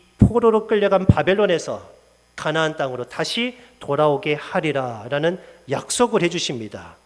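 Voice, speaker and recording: A man speaks in a normal speaking voice, fairly high in pitch. His intonation is lively and his pace is moderate. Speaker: pastor. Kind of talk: sermon.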